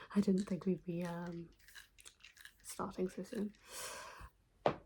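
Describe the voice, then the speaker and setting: A soft-spoken, somewhat breathy woman's voice, medium in pitch and dark, mellow in tone, flat and monotone at a fairly slow pace. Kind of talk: ASMR soft-spoken trigger video.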